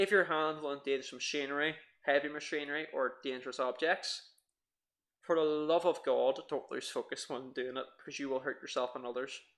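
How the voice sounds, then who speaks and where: Over a quiet background, a man with an Irish accent speaks at a fairly quick pace. His pitch is fairly high and his intonation fairly even. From Ireland. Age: 20s. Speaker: podcast co-host. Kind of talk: casual podcast chat.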